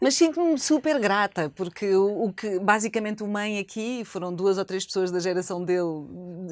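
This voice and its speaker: Moderate pace and medium pitch from a woman with a plain, everyday voice. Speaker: former radio host and journalist, now foundation head. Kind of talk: interview answer.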